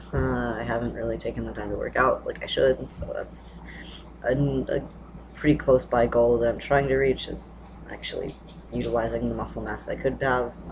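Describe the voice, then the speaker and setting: Male voice, moderate tempo, background noise clearly present. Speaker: vlogger. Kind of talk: casual vlog update. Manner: hesitant, many fillers.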